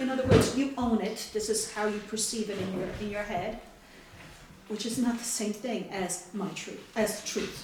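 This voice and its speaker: Speaking at a moderate pace, a woman with a fairly high pitch is heard over noticeable background noise, with audible room echo. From outside the US. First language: not English. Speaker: mother of a war veteran. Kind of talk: interview.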